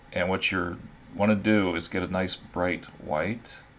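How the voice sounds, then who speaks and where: A man speaks with a very deep, low voice. His pace is fairly slow and his intonation fairly even. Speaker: art instructor. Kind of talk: tutorial. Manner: casual, with fillers.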